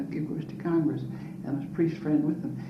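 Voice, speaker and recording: Amid noticeable background noise and audible room echo, a woman talks with a very deep, low pitch. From Prince Edward Island, Canada (Bayview). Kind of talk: oral history interview. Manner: halting, with frequent repetitions.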